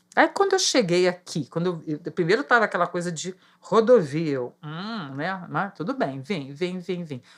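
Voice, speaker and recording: A woman with an ordinary speaking voice and a fairly low pitch talks at a moderate pace with lively intonation, big swings in loudness and hardly any pauses. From Rio de Janeiro, Brazil. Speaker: market vendor. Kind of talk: casual chat.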